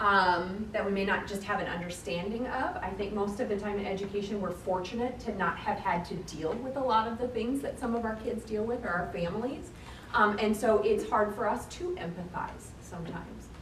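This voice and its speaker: A woman with a Michigan accent talks at a fairly quick pace with hardly any pauses, medium pitch and ordinary pitch variation, amid noticeable background noise and audible room echo. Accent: noticeably non-Floridian, Michigan. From Michigan, US Midwest. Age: adult. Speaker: educator, trainer. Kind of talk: professional training workshop.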